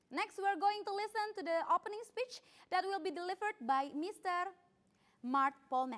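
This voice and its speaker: Her pitch is extremely high. The woman sounds animated, with lively intonation. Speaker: event emcee. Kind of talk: press conference hosting. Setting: online press conference streamed live. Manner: fast.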